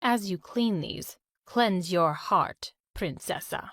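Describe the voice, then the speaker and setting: A woman's growling put-on character voice at medium pitch, with ordinary pitch variation and a very slow pace. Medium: read story. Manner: stern, commanding.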